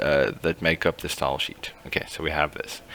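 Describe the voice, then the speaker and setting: Speaking at a fairly quick pace, a man is heard through noticeable background noise. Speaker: teacher. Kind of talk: tutorial.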